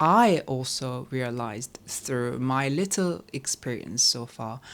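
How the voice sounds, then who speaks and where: In a very clean recording with a silent background, a woman speaks with a Korean accent. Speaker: composer and vlogger. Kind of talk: casual chat.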